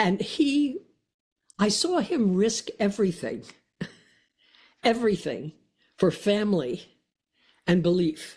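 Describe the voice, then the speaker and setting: The voice is somewhat breathy and very slow, with long, frequent pauses. Its loudness stays very even while its pitch swings very widely. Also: woman, medium pitch for a woman. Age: 80s+. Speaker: author. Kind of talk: interview answer.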